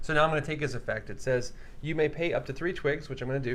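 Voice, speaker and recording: Audible room echo surrounds a man speaking very fast at fairly high pitch with fairly even intonation. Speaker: board game livestream host. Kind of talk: casual game playthrough and rules explanation. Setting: livestream studio. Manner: too quiet, soft-spoken.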